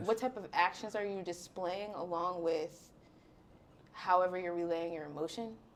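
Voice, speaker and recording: Over noticeable background noise, the speaker keeps a moderate pace with ordinary pitch variation. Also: woman, medium pitch for a woman. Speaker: podcaster and influencer. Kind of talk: podcast interview answer.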